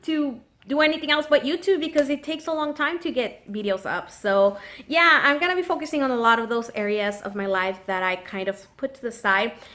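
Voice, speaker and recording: Raising and projecting her voice, a woman with a high pitch speaks at a moderate pace with very wide pitch swings. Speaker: nail polish YouTuber. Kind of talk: casual chat. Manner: chatty, filler-heavy.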